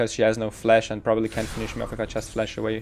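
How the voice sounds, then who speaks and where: A man speaks with a German accent. Music plays in the background. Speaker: gaming guide creator. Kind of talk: gameplay commentary tutorial.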